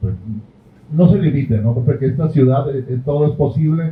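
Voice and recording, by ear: A man talks with ordinary pitch variation. Audible room echo surrounds his voice.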